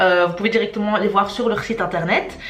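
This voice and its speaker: A woman with a Charleroi accent at a very fast pace, fairly high in pitch, with audible room echo and noticeable background noise. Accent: Charleroi (carolo) Belgian French. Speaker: shop employee presenting. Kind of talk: tasting video and FAQ presentation. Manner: hesitant, many filler sounds.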